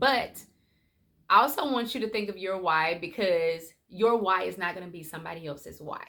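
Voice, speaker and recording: Bright and sharp in tone, a woman's medium-pitched voice moves at a moderate pace with lively intonation and big swings in loudness. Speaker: life coach. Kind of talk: motivational vlog talk. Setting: at home.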